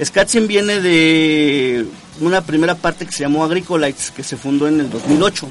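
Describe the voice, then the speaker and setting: Noticeable background noise sits behind this recording. Over it, a man talks at a fairly high pitch. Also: ordinary pitch variation, moderate pace. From Mexico, Puebla state. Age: 30s. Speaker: ska musician, band leader. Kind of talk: casual radio interview. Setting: live radio studio.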